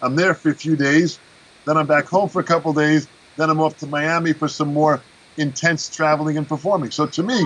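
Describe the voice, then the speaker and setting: Talking at a fairly quick pace, a man with a normal speaking voice uses a fairly high pitch and fairly even intonation. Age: 60s. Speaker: drum teacher and performer. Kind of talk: interview.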